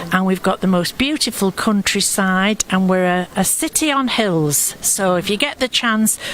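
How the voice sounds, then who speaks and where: With a Yorkshire accent, a woman at medium pitch talks with lively intonation, very even loudness and hardly any pauses, over noticeable background noise. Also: moderate pace. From Sheffield, northern England. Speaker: choir singer and co-host. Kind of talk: live event commentary.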